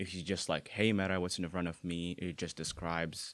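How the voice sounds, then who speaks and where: Recorded very cleanly with a silent background, a man with a very deep, low pitch speaks at a fairly quick pace. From Bahrain. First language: Arabic. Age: 20s. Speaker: university student with vision impairment. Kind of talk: casual interview. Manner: halting, many fillers.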